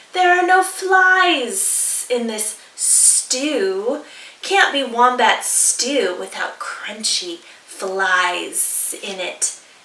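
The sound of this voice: Very slow and high-pitched, a woman's put-on character voice has very wide pitch swings and audible hissing.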